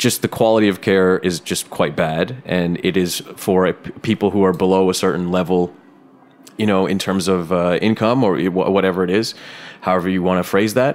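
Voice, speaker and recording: Speaking with a Canadian accent, the man has a very deep, low pitch. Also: fairly even intonation, moderate pace. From Canada. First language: Bengali. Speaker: podcast host. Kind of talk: casual interview chat.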